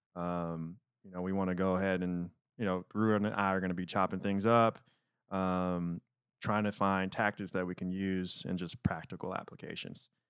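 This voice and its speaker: A monotone, flat delivery in an American accent at a moderate pace, on a very clean recording with a silent background. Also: man, very deep, low pitch for a man. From Detroit, Michigan. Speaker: podcast host. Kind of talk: casual chat. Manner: conscientious about enunciation, tries not to mumble.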